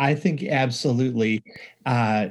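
The speaker is a man with a somewhat breathy voice. He talks fairly slowly. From rural upstate New York. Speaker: music education professor and author. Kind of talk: interview.

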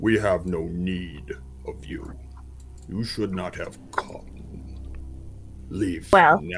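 A man's put-on character voice, very deep and low, very slow, with long, frequent pauses over clear background noise. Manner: cold, curt, dismissive.

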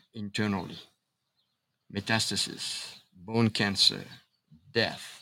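Here a man talks at a very slow pace. His voice sits at medium pitch. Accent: French. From Paris, France. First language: French. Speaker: chiropractor and speaker. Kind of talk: casual interview conversation. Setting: outdoors.

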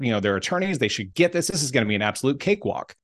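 With a quiet background, a man with an American accent talks in an animated tone at a medium pitch, making very wide pitch swings. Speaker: motivational speaker and coach. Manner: animated, friendly.

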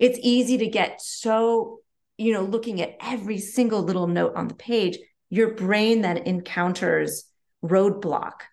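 Using a normal speaking voice, a woman talks at a fairly slow pace with a fairly high pitch and fairly even intonation. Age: 40s. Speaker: collaborative pianist. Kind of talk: podcast interview.

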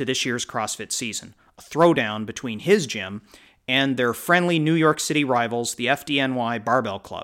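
A man with a plain, everyday voice speaks at a moderate pace in a medium pitch with ordinary pitch variation. The recording is very clean, with a silent background. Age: 40s. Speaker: podcast host and fitness coach. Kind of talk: interview podcast.

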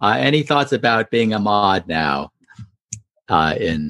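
A man talks at a very slow pace in a fairly low voice with vocal fry. The sound is dry and close, with no echo. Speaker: group moderator and event host. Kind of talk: casual group video chat. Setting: video call.

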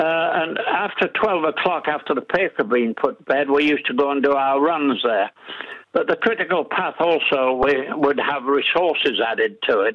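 With an English accent, a man speaks at a moderate pace and a fairly high pitch, his loudness swinging widely. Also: lively intonation. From northern England, Middlesbrough. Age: 80s+. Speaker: war veteran and retiree. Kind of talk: radio interview. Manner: halting.

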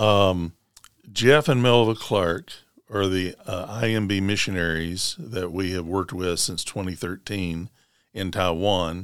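This man speaks at a fairly slow pace in a Tennessee accent, his very deep, low pitch moving with ordinary variation. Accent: US Southern (Tennessee). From Middle Tennessee (Rutherford County). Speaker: Baptist association director of missions. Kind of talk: interview.

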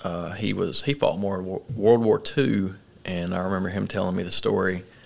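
A man speaks with an Arkansas accent. His pitch is very deep and low. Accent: Southern US (Arkansas). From central Arkansas. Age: 20s. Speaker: army officer and CrossFit coach. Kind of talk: casual interview. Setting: studio, in person.

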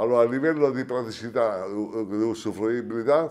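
A man with an ordinary speaking voice, medium in pitch, at a moderate pace with ordinary pitch variation. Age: 60s. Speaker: hi-fi shop owner. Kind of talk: interview at a trade event. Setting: at a hi-fi event.

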